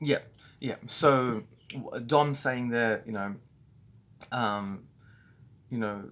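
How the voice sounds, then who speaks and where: With an Australian accent, a man speaks at a very slow pace and medium pitch, his intonation fairly even and his pauses long and frequent. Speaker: business owner training staff. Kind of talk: training talk. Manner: halting, many fillers.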